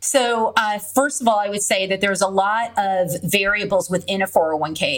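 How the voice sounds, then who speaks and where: In an American accent, a woman with an ordinary speaking voice talks at a medium pitch and a moderate pace, with ordinary pitch variation. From California. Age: 20s. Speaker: real estate investor. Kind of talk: interview.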